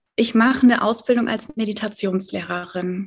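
A woman with a somewhat breathy voice and fairly high pitch talks at a moderate pace. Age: 30s. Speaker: life coach and meditation teacher. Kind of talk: casual interview.

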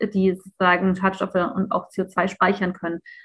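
A woman talks in a somewhat breathy voice. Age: 30s. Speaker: think tank founder and economist activist. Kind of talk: podcast interview.

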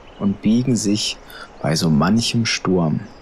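The tone is gentle and soothing. Noticeable background noise runs underneath. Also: man. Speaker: meditation guide and psychiatric care podcast host. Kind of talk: guided meditation. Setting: podcast recording. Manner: slow, soft, soothing, calm; gentle, hypnotic, unhurried.

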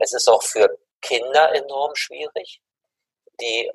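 Recorded with a dry, close sound and no echo, a man talks at a very slow pace. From Germany. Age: 60s. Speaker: mediation expert and university head. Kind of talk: interview.

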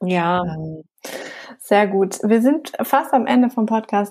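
A woman's dark, mellow voice at a medium pitch. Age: 30s. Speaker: podcast host. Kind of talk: interview.

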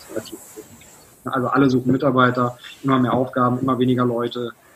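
Noticeable background noise fills the clip. Over it, a man speaks at a medium pitch. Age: 20s. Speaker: business consultant and author. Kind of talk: interview. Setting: video call.

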